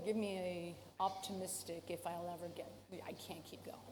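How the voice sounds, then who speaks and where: A woman talks in a room with audible echo and noticeable background noise. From Canada. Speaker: professor. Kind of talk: conference talk. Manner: casual.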